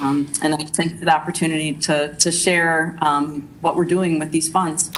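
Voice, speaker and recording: The voice is monotone and flat in intonation, with noticeable background noise behind it. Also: woman, very deep, low pitch for a woman. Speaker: school district administrator. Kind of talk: budget presentation at board meeting. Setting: school board meeting. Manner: fast; hesitant, many fillers.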